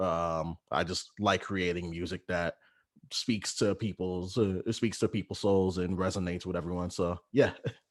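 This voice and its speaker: A man with an American accent and an unremarkable speaking voice talks at a moderate pace and fairly low pitch. The recording is very clean, with a silent background and a dry, close sound with no echo. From Texas. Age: 20s. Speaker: rapper. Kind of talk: interview.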